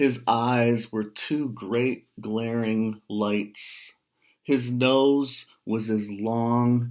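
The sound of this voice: The voice reads in an unforced way with fairly even intonation. The background is quiet.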